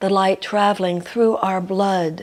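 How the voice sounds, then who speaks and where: Calm in tone, a woman speaks very slowly at a medium pitch with monotone, flat intonation. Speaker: spiritual teacher. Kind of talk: guided meditation. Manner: calm, slow.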